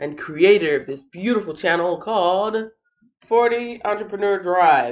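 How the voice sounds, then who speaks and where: With lively intonation, a woman speaks at medium pitch. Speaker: channel host, Bible reading livestreamer. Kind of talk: casual livestream chat. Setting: live stream.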